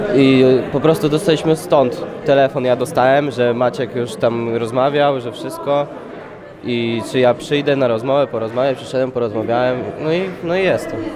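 This man's pitch varies in an ordinary way as he talks at a moderate speed against noticeable background noise. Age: young. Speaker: freak fight fighter; interviewee. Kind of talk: interview. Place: empty room. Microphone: handheld.

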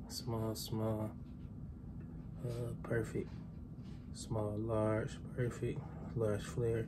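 A man at a very slow pace amid loud background noise. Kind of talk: casual vlog chat. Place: kitchen. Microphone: phone near.

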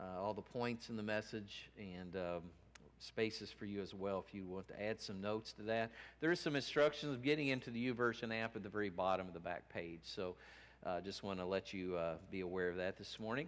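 The speaker talks at a fairly quick pace with ordinary pitch variation. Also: man, fairly low pitch for a man. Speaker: minister. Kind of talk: sermon. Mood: warm, relaxed. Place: church. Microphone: headset.

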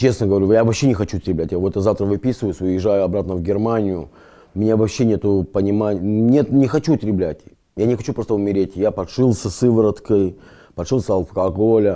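Over a quiet background, a man with a fairly low pitch and a dark, mellow tone speaks at a fairly quick pace with ordinary pitch variation. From Lithuania, grew up partly in Israel; Lithuania. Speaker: rehab patient. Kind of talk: testimony; interview answer. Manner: halting. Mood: earnest, reflective.

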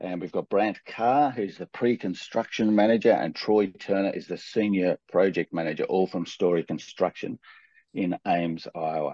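A man's dark, mellow voice, fairly low in pitch with ordinary pitch variation, at a moderate pace in a dry sound with no echo and a quiet background. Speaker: webinar host, presenter. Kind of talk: webinar introduction and presentation. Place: home room.

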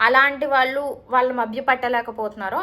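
Her bright, sharp tone comes through as a woman speaking at a high pitch. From Vizag, Andhra Pradesh. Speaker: YouTuber and homemaker. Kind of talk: Q&A vlog answering viewer questions.

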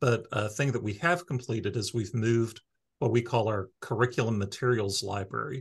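A man's somewhat breathy voice at a moderate pace, with ordinary pitch variation and a quiet background. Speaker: library staff podcast host. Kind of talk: casual podcast chat. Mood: friendly, amused. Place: office. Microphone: video call.

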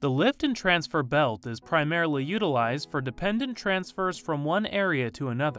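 Backed by music, a man with an American accent speaks at a moderate pace in a fairly high pitch with very wide pitch swings. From United States. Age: young. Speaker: voice actor. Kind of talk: instructional narration.

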